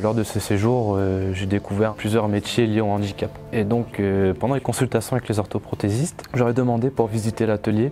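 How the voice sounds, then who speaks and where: With music in the background, a man speaks with hardly any pauses and fairly even intonation. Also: fairly low pitch for a man, moderate pace. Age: 20s. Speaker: patient and student. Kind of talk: testimony. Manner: hesitant, many fillers.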